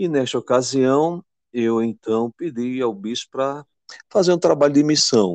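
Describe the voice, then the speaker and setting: This man talks at medium pitch with lively intonation. The sound is dry and close, with no echo. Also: fairly slow pace. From Pernambuco, Brazil (Belo Jardim). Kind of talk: interview.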